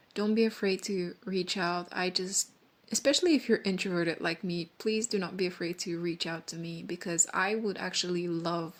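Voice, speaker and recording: A woman at medium pitch, with a non-native accent. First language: not English. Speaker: vlogger. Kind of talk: casual monologue. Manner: rambling, halting.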